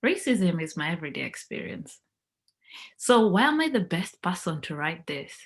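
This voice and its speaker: On a very clean recording with a silent background, a woman with a fairly low, somewhat breathy voice speaks at a moderate pace, her pitch swinging very widely. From Kenya. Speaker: motivational speaker. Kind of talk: talk to camera. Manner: humorous.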